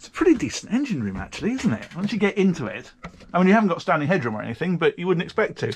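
Someone with a British accent talks at a very fast pace over light background noise. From UK. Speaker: boating video presenter. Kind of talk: casual interview on a boat tour. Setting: aboard a motor yacht. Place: boat. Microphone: phone near.

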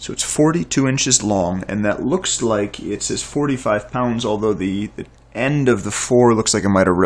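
Fairly low in pitch, a man is speaking. His pace is fairly slow. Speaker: bow reviewer. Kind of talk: product review commentary. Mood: admiring, relaxed. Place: home room. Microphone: camera far.

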